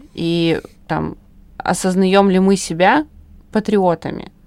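A very clean recording, silent background, and a woman's voice at a medium pitch. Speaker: podcast host. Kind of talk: moderated panel discussion. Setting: studio.

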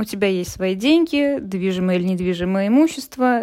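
At a moderate pace, a woman with a medium pitch uses lively intonation in an ordinary speaking voice. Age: 30s. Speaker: psychologist. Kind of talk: recorded monologue answering questions.

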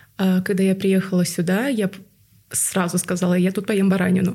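Here a woman speaks with a somewhat breathy voice. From Tuva, Russia. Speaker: podcast guest. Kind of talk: casual interview chat.

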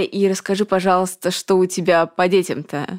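A woman speaks at a medium pitch and a moderate pace, her intonation monotone and flat. The recording is very clean, with a silent background. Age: 30s. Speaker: podcast host, business owner. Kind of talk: sponsor read; casual interview.

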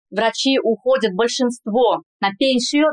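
A woman's high voice with a slight Spanish accent, ordinary pitch variation and a dry, close sound with no echo. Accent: slight Spanish accent in Russian. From Kazan, Russia. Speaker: general practitioner. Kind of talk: casual interview. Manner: careful enunciation.

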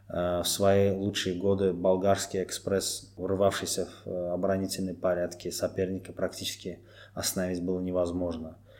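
This man's voice sits very deep and low, and his intonation stays monotone and flat. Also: moderate pace. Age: 30s. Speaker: football fan guest. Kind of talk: podcast interview.

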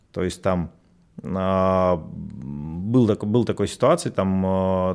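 Ordinary pitch variation marks this man's speech. His pitch is very deep and low. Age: 40s. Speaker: psychologist and tantra workshop leader. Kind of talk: radio interview.

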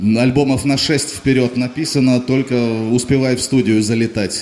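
A man with a normal speaking voice, moderate pace and fairly even intonation. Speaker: rock band frontman. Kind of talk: on-stage interview. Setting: club stage.

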